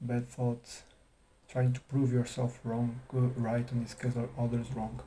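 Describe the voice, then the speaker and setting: A man with a non-native accent speaks at a fairly slow pace and medium pitch, his dark, mellow tone somewhat breathy and his intonation monotone and flat. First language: not English. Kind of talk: casual talk to camera. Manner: hesitant, stuttering, long pauses.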